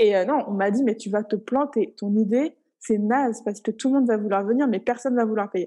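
Fairly quick and fairly high for a woman, her voice carries a dark, mellow tone. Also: ordinary pitch variation. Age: 20s. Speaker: founder of a motherhood support group platform. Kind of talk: casual chat.

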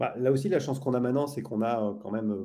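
Dark and mellow in tone, the voice moves along at a fairly quick pace. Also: man. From northern France, Lille. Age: 50s. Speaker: sales trainer. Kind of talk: podcast interview. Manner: halting.

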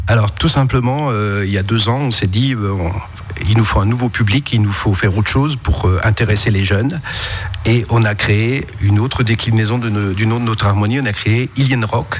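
Over noticeable background noise, a man with a fairly low pitch talks at a moderate pace with ordinary pitch variation. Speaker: leader of a music society with a youth orchestra. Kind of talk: radio interview.

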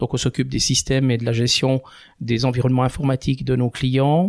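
On a very clean recording with a silent background, a man speaks at a moderate pace and medium pitch in a plain, everyday voice, the sound dry and close with no echo. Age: 50s. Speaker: IT company director. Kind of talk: casual interview.

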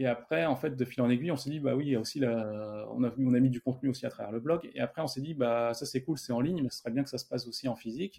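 At a very fast pace and with hardly any pauses, a man talks in a dark, mellow tone. His pitch is medium, with ordinary variation. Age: 30s. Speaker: software developer and startup founder. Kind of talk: interview.

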